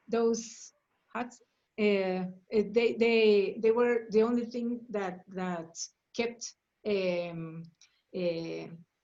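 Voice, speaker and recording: Speaking very slowly with long, frequent pauses, a woman with a Spanish accent keeps a fairly high pitch and fairly even intonation. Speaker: workshop facilitator. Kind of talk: group discussion. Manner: halting, many fillers and repetitions.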